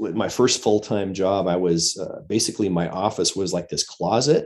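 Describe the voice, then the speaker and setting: A man speaks in an unremarkable speaking voice at a fairly low pitch. His pitch varies in an ordinary way over a quiet background. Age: 50s. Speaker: pastor and former worship leader. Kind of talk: casual chat.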